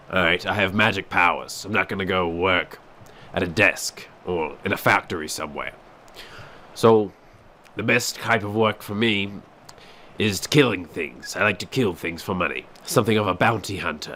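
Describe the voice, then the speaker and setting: A raspy, put-on character voice from a man, fairly low in pitch with ordinary pitch variation, at a moderate pace with long, frequent pauses. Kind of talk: comic mock-epic narration. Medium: comedy sketch. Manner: pompous then rambling and deflating.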